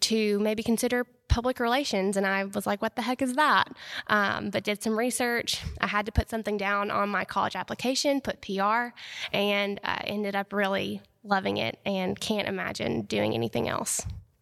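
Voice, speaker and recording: A woman in an American accent, medium pitch, moderate pace, fairly even intonation, an unremarkable speaking voice, and a dry, close sound with no echo. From North Alabama, US South. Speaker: public relations professional. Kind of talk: interview. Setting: historic hotel.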